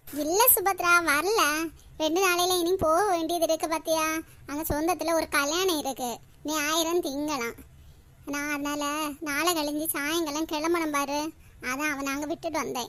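A cartoonish character voice moves at a moderate pace with fairly even intonation. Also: woman, extremely high pitch for a woman. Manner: casual, tag word 'paaru'.

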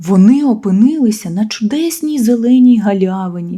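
The reading voice heard here is natural.

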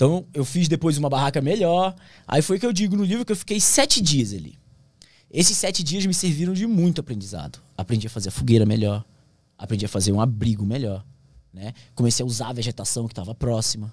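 Over a quiet background in a dry sound with no echo, a somewhat breathy man speaks at a very fast pace with very wide pitch swings. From Brazilian Amazon. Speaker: pilot and plane crash survivor. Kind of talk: casual interview. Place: studio. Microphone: studio mic.

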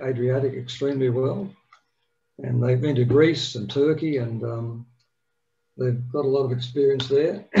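A man with an Australian accent, fairly even intonation and a fairly slow pace. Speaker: yacht club meeting chair. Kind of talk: meeting announcements and introduction. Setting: video call. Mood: warm, friendly. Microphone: video call.

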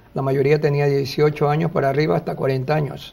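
Monotone, flat intonation comes with a somewhat breathy voice. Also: man. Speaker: TV interviewee. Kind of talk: interview answer. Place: studio. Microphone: lapel.

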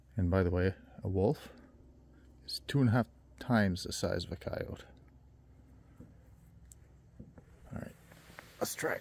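With long, frequent pauses, a man speaks at a moderate pace, his fairly low pitch showing ordinary variation. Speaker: vlogger. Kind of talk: casual vlog chat. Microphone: phone near.

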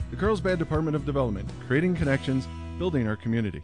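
Over background music, the speaker rushes along at a very fast pace, pitch swinging very widely while loudness stays very even. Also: man, medium pitch for a man. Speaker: voice actor. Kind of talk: event welcome announcement.

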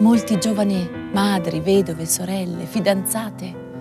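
Music can be heard behind the voice. A woman talks at a moderate speed. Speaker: stage actress. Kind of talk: documentary voice-over narration.

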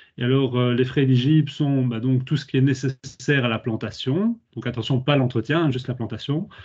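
A man speaks at a moderate pace with fairly even intonation and a somewhat breathy quality. The background is quiet. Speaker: public administration official. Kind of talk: webinar presentation. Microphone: laggy connection; video call.

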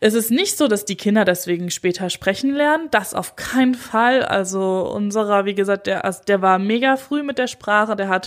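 With a normal speaking voice, a woman talks at a moderate pace and medium pitch with ordinary pitch variation, captured in a very clean recording with a silent background. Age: 30s. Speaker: doula and birth psychologist, podcast host. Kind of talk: solo podcast monologue. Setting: standing while recording. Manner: casual, conversational.

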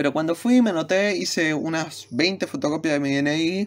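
With a Rioplatense accent, the speech unfolds at a fairly slow pace. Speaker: university student YouTuber. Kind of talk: casual vlog talk to camera.

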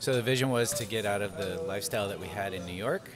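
A man talking at a very fast pace over music in the background. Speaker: guest. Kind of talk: interview answer. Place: cafe. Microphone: studio mic.

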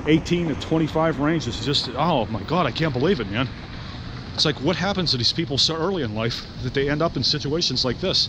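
Fairly quick, lively speech from a man with a fairly high pitch, in a dry sound with no echo and noticeable background noise. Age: 40s. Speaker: homeless vlogger; vlogger. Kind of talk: casual vlog monologue; casual vlog chat. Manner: halting, repetitive. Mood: concerned, earnest. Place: street. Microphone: phone near.

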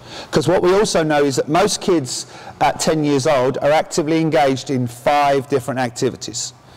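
Against noticeable background noise, a fairly high-pitched man talks at a fairly quick pace with ordinary pitch variation and very even loudness. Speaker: tennis coach educator. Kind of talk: conference presentation. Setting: stage with audience. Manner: interactive, jokey.

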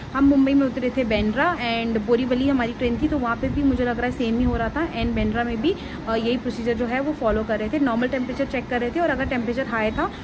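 A woman with a high pitch talks with hardly any pauses and fairly even intonation over noticeable background noise. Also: fairly quick pace. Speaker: travel vlogger. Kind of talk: casual vlog chat. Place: home room. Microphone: phone near.

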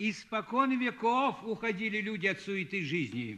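With lively intonation, a man speaks in a raised, projected voice. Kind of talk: dramatic film dialogue. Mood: wry, philosophical, world-weary.

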